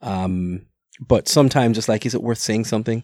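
On a very clean recording with a silent background and a dry, close sound with no echo, the voice moves at a fairly quick pace with a dark, mellow tone and ordinary pitch variation. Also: man. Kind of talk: casual chat.

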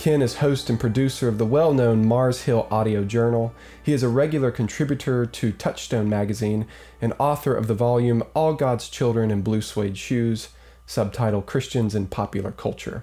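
Using a dark, mellow tone at a medium pitch, a man speaks at a moderate pace with very even loudness and fairly even intonation. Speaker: priest and podcast host. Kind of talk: interview.

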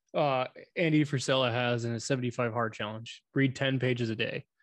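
Against a quiet background, a man talks at a medium pitch with fairly even intonation. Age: 20s. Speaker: podcast co-host, student. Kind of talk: casual chat.

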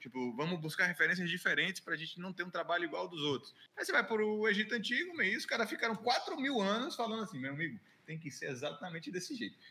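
Projecting loudly at a very fast pace, a man with a high voice makes very wide pitch swings. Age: 20s. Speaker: illustrator. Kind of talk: casual chat.

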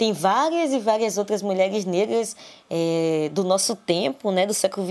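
Delivered at a moderate pace, the speech comes in a plain, everyday voice with ordinary pitch variation. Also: woman. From Brazil, Salvador, Bahia. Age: 20s. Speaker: literature student and researcher. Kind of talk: interview. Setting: recorded at home.

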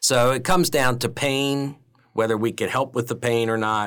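An unremarkable speaking voice from a man at a moderate pace, on a very clean recording with a silent background. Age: 50s. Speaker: veterinarian. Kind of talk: interview.

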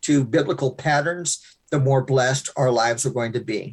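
A somewhat breathy man's voice, fairly high in pitch, at a moderate pace against a quiet background. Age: 60s. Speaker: pastor. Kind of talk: interview.

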